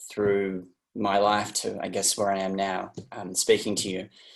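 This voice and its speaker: A man's fairly low voice in an Australian accent at a fairly slow pace, against a quiet background. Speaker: interview guest sharing personal story. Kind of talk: personal testimony. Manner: halting, many fillers and restarts.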